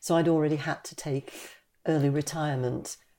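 A woman with a Geordie accent, a very deep, low pitch and a dark, mellow tone, on a very clean recording with a silent background. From Newcastle upon Tyne, northeast England. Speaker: retired patient advocate. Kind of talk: panel discussion testimony.

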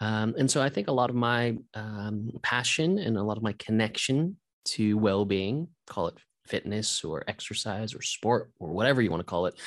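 A man with an unremarkable speaking voice talks at a moderate pace and a fairly low pitch. His pitch varies in an ordinary way over a quiet background. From US West Coast, Santa Monica. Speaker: yoga teacher and author. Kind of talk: interview conversation.

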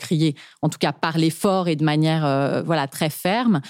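Her dark, mellow tone at a fairly low pitch moves at a fairly slow pace as the woman speaks with ordinary pitch variation. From France. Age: 30s. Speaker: podcast guest. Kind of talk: casual chat. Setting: studio.

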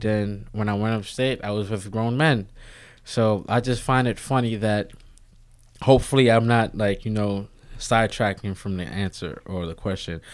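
A man with an American accent has an unremarkable speaking voice at a fairly low pitch, with ordinary pitch variation and a moderate pace. The recording is very clean, with a silent background. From Harlem, New York City. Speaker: former prisoner, personal trainer. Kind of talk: interview. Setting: podcast studio.

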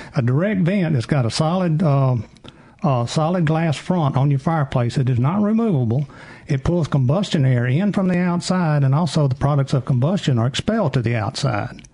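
Speaking with a dark, mellow tone, a man with a fairly high, somewhat breathy voice uses lively intonation at very even loudness. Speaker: chimney sweep expert. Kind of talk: call-in advice show.

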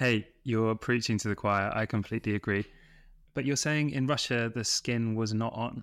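At a moderate pace, a man talks with a British accent. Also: medium pitch for a man, fairly even intonation, very even loudness. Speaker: podcast host. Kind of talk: interview chat.

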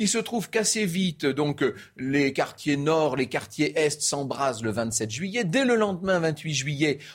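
Very wide pitch swings run through this man's speech at a very slow pace. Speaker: history storyteller. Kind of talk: history talk show.

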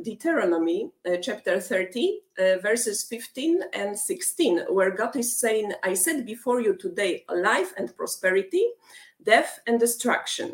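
Speaking fairly slowly with a Polish accent, a woman uses a fairly high pitch with very wide pitch swings. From Poland. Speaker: rock band lead singer. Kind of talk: interview.

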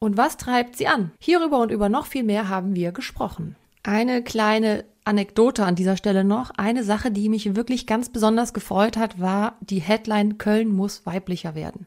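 A woman speaks in a plain, everyday voice at a moderate pace, fairly high in pitch with ordinary pitch variation. There are hardly any pauses, and the recording is very clean with a silent background. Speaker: podcast host. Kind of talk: interview; scripted narration.

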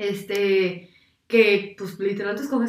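A woman speaks in an animated tone. Her pitch is medium. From Mexico, San Luis Potosí. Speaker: architecture student, former volunteer abroad. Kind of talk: casual chat.

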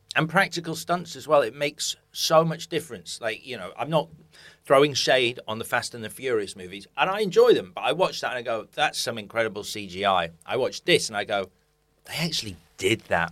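A man speaks at a fairly quick pace with vocal fry, his pitch swinging very widely and his loudness rising and falling sharply. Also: medium pitch for a man, very clean recording, silent background. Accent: British. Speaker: podcast host. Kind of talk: interview chat. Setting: studio.

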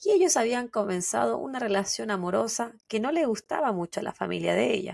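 A woman at a moderate pace, with a Chilean accent, in a very clean recording with a silent background and a dry, close sound with no echo. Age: 30s. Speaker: true crime podcast co-host. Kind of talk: storytelling narration.

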